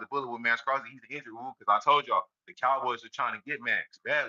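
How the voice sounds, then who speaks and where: At a very fast pace, a man talks at a medium pitch with a bright, sharp tone, the sound dry and close with no echo. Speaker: sports commentary vlogger. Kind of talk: casual fan commentary monologue. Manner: animated.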